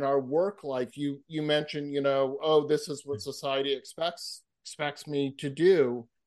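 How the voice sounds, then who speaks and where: An unremarkable speaking voice from a man with an American accent, fairly high in pitch and fairly slow in pace, over a quiet background. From Massachusetts. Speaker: author and public speaker, counselor. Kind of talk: interview conversation.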